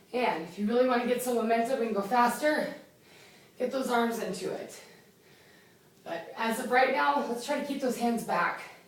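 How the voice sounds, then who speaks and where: The speaker has an energetic tone, a moderate pace, ordinary pitch variation and long, frequent pauses, with noticeable background noise and audible room echo. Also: woman, high pitch for a woman. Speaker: fitness competitor and trainer. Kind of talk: workout instruction. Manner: loud; energetic, counting reps.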